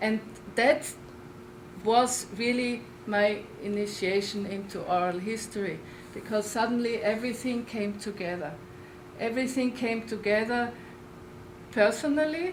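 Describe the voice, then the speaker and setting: A woman with a strong Austrian accent and a fairly high pitch speaks at a moderate pace with ordinary pitch variation and long, frequent pauses. Audible room echo and noticeable background noise are present. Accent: Austrian accent, strong, lasting. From Austria, Linz. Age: 60s. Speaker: oral historian. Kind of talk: lecture. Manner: halting, with repeated words.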